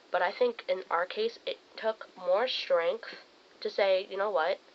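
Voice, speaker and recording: At a moderate pace, a woman is speaking. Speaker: friend of the channel owner. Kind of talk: casual chat. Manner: loud.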